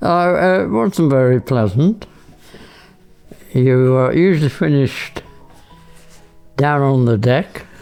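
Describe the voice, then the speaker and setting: With music in the background, a man speaks very slowly at a medium pitch, his intonation lively and his loudness very even. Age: 80s+. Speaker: war veteran, former RAF bomber pilot. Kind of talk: interview answer.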